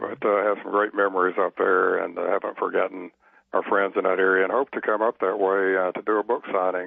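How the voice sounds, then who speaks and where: Someone with a Southern US accent talks at a very fast pace. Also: man. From US South. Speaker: novelist. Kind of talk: radio interview.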